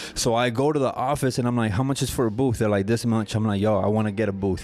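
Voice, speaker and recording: A man talks at a very fast pace and medium pitch. Music plays in the background. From Mexico. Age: 30s. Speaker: barber and barbershop owner. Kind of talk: casual chat. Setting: barbershop.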